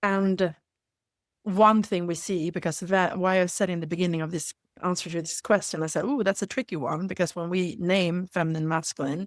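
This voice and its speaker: A woman speaks with fairly low pitch and fairly even intonation on a very clean recording with a silent background. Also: dry, close sound with no echo. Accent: Swedish. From Sweden. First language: Swedish. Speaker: leadership facilitator. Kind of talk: interview conversation. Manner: halting.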